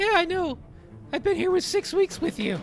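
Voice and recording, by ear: Someone uses an extremely high, squeaky put-on character voice. Background noise is clearly audible.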